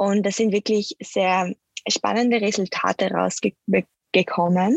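Spoken very slowly in a flat monotone, the voice sounds dry and close with no echo. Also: woman. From Austria and Switzerland (mountains). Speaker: nutrition expert and medical student. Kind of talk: interview. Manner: hesitant, many filler sounds.

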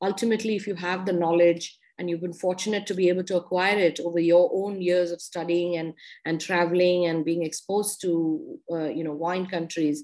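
With an Indian accent, a woman talks at a fairly quick pace with hardly any pauses, her dark, mellow tone held in a monotone, flat intonation. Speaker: wine expert and businesswoman. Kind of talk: interview.

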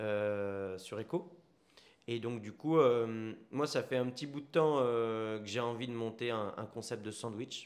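The man's voice sits at a medium pitch with ordinary pitch variation. He talks at a very slow pace. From Paris region, France. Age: 30s. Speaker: entrepreneur, restaurant founder. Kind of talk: casual interview chat. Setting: on location in a sandwich shop.

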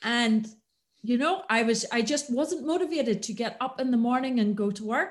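A woman speaks with a Northern Irish accent at a fairly high pitch. Her pace is moderate and her pitch varies in an ordinary way. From Northern Ireland, County Antrim. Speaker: business consultant. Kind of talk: podcast interview.

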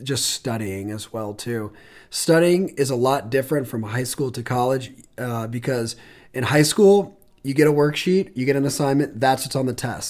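Here a man has an ordinary speaking voice and ordinary pitch variation at a moderate pace. The recording is very clean, with a silent background. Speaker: admissions counselor podcast host. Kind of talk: casual chat.

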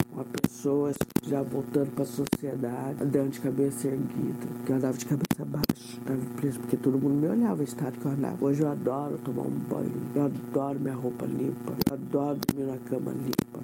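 A woman's very deep, low voice in a flat monotone at a fairly quick pace, over noticeable background noise. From São Paulo state, Brazil (Cruzeiro). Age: 50s. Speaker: seamstress with a life story. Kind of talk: personal testimony.

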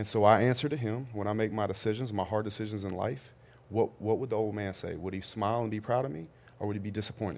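The speaker talks in a Louisiana accent. The pace is very fast. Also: man. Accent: Southern US (Louisiana). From US South, Louisiana. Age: 30s. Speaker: real estate and construction entrepreneur. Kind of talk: casual chat.

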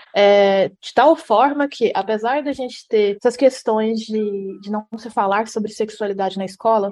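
A woman speaks at a moderate pace with hardly any pauses, her fairly high voice carrying a dark, mellow tone. Her intonation is fairly even, while her loudness swings widely. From Brazil, Goiás (Jataí). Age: 30s. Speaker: publicity student. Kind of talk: podcast interview.

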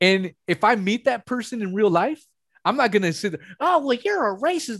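A man talks at a fairly quick pace with a high pitch. The recording is very clean, with a silent background. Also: dry, close sound with no echo. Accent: American. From Los Angeles, US West Coast. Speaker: anonymous conspiracy podcaster. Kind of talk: casual conversational interview. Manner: casual, profane, conversational.

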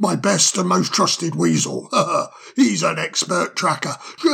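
The clip carries a natural reading voice.

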